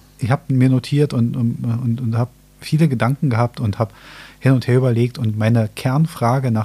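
A man speaks at medium pitch with ordinary pitch variation, a dark, mellow tone and a somewhat breathy quality. His pace is moderate, on a very clean recording with a silent background. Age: 40s. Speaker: podcast host. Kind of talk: casual chat.

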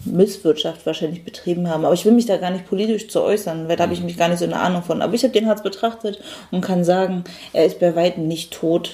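An ordinary speaking voice at a fairly quick pace, with fairly even intonation. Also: woman. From Germany, Berlin. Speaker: painter. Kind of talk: interview.

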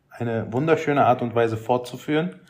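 Here a man speaks in an ordinary speaking voice at a medium pitch. His pace is moderate and his pitch variation ordinary. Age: 30s. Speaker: travel content creator. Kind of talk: casual chat.

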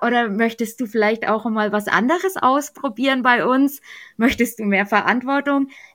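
A woman speaks at a high pitch and a moderate pace. Her pitch varies in an ordinary way, and her loudness stays very even. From Germany, Bavaria (Middle Franconia). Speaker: church youth training leader. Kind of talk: podcast interview.

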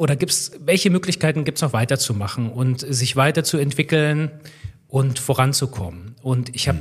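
A man's somewhat breathy voice at a moderate pace, with ordinary pitch variation. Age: 30s. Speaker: railway systems engineer, former train driver. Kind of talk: podcast interview.

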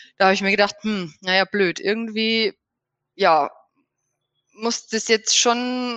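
In a dry, close recording with no echo and a quiet background, a woman with a bright, sharp tone speaks fairly slowly at a fairly high pitch, with ordinary pitch variation. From Bavaria, near Regensburg. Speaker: horse owner and riding instructor. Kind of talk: interview. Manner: hesitant, many fillers.

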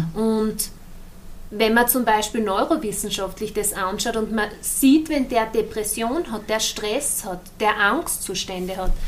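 Behind noticeable background noise, a woman talks at a fairly slow tempo. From Austria, Styria (partly Denmark). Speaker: yoga teacher and natural scientist. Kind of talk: interview conversation. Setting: hotel room, indoors.

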